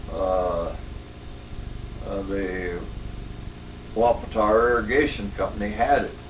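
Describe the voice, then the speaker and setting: With noticeable background noise and audible room echo, a man with a Northwestern US accent talks at a very slow pace, leaving long, frequent pauses. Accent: rural US Northwest. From Washington State, Lake Chelan area. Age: 80s+. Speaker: elderly local pioneer interviewee. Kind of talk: oral history interview. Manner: halting, many fillers.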